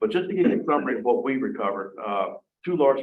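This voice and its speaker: A man talks at a fairly quick pace with lively intonation. Audible room echo surrounds his voice. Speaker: police chief. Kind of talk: council meeting report. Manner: fast; halting, many fillers.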